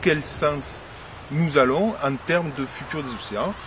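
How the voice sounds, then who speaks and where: Noticeable background noise surrounds a man speaking at a fairly high pitch. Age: 40s. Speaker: teacher and lifeguard, writer. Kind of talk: interview. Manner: hesitant, many fillers.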